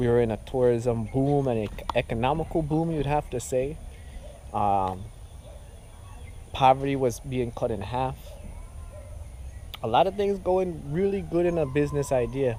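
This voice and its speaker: With a dark, mellow tone and a medium pitch, a man speaks at a moderate pace with lively intonation and long, frequent pauses. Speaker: video blogger. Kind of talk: vlog commentary. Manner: halting.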